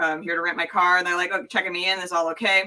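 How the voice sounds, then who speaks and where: This woman's bright, sharp voice sits at a medium pitch with fairly even intonation. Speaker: entertainer and drag pageant performer. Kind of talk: casual chat. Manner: halting, many fillers.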